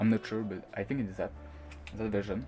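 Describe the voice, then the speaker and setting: A man's fairly low voice in a non-native accent, with music in the background. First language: not English. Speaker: gaming tutorial maker. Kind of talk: screen-recorded software tutorial. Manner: hesitant, many fillers.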